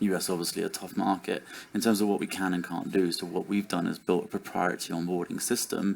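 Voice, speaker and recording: In a British accent, a man with a fairly low pitch talks with fairly even intonation. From United Kingdom. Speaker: startup CEO, conference panelist. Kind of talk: conference panel discussion. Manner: hesitant, many fillers and restarts.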